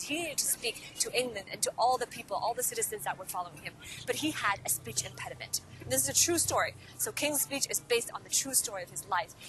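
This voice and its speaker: Over music in the background, a woman with a Cantonese accent talks fairly quickly with lively intonation. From Hong Kong. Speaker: podcast host and career coach. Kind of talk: motivational talk to camera. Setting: outdoors in a park.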